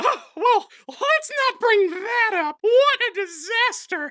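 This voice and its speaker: The speaker uses a cartoonish character voice at an extremely high pitch. The pace is fairly slow. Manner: earnest, stumbling.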